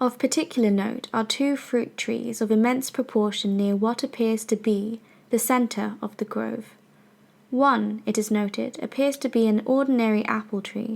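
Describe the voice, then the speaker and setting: This somewhat breathy voice moves at a moderate pace with fairly even intonation. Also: woman, fairly high pitch for a woman. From British. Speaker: narrator. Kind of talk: fiction narration.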